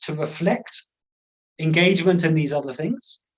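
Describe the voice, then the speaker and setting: A man speaks with an English accent. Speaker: conservation scientist and activist. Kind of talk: webinar lecture. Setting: online webinar. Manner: slow, with many fillers and repetitions.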